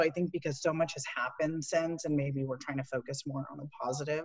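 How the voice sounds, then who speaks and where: Very fast speech over noticeable background noise. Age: 20s. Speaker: church community member. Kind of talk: casual chat.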